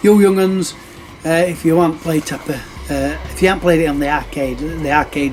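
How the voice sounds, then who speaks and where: A man with a northern English accent talks at a fairly quick pace. Music is in the background, along with audible room echo. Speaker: retro gaming YouTuber. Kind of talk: casual show-and-tell video. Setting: public venue, noisy. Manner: hesitant, many fillers.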